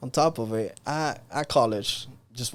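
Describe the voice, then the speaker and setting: With a slight Cuban accent, a man speaks at a medium pitch with ordinary pitch variation. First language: Spanish. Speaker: entrepreneur. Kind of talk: interview conversation. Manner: animated.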